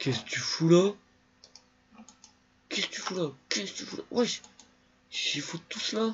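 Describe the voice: A man speaks at a fairly slow pace in a high pitch with lively intonation. His voice has a husky, rough edge.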